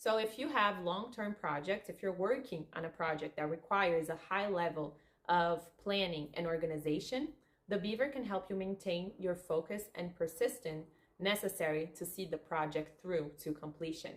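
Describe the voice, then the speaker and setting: This woman, with a Portuguese accent, speaks at a moderate pace in a fairly low pitch with ordinary pitch variation. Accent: non-native English, Portuguese. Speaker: spiritual coach, therapist. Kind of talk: casual video monologue. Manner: halting.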